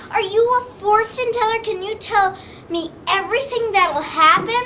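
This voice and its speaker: A woman's put-on character voice at an extremely high pitch, moderate pace, with clear background noise. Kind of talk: folk tale comic storytelling. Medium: read story. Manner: naive, literal.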